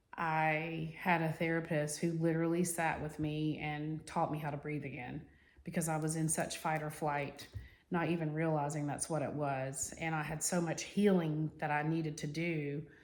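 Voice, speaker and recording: A woman's very deep, low voice in monotone, flat intonation, at a moderate pace, with audible room echo. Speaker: self-help vlogger. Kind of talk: personal advice monologue. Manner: casual, with fillers.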